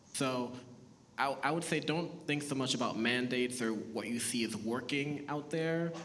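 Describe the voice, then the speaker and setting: There is audible room echo and noticeable background noise. A man talks at a fairly slow pace with a medium pitch and fairly even intonation. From Boston, Massachusetts (born Haiti, moved at four). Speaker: TV writer and producer. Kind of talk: live panel discussion. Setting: stage with audience.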